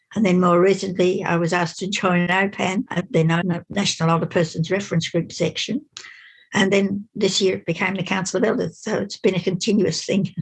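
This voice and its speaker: Somewhat breathy and medium in pitch, a woman talks at a fairly quick pace in an Australian accent. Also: fairly even intonation. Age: 80s+. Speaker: seniors' rights campaigner. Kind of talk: interview answer.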